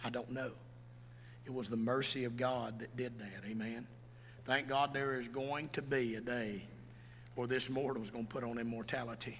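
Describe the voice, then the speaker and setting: A man with a Southern US accent speaks at a moderate pace and medium pitch with monotone, flat intonation. Long, frequent pauses and audible room echo mark the recording. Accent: US South. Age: 50s. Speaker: pastor. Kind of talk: sermon. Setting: church.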